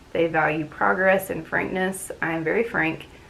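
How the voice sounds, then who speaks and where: At a fairly quick pace, a woman with an ordinary speaking voice talks in a fairly low pitch with ordinary pitch variation. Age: 30s. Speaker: booktube channel host. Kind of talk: casual talk to camera. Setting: talking to a camera at home.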